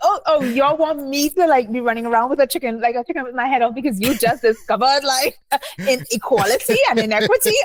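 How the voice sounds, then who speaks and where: Amid noticeable background noise, a woman talks at a very fast pace in a high voice with ordinary pitch variation. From Trinidad and Tobago. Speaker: memoirist and poet. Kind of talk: interview conversation. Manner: animated.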